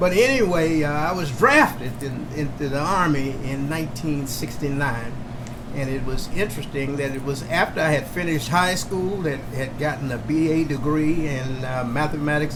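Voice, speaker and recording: With an American accent, a man speaks at a fairly high pitch and a moderate pace, with ordinary pitch variation and hardly any pauses. Audible room echo and noticeable background noise surround him. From Oklahoma. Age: 70s. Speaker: Vietnam veteran and community entrepreneur. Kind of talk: interview storytelling. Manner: halting with fillers.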